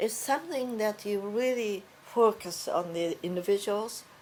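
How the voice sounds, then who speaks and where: A woman with a Japanese accent speaks at a fairly slow pace, her medium pitch varying by an ordinary amount. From Japan, Osaka. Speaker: fashion business educator. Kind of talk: oral history interview. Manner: halting, many fillers.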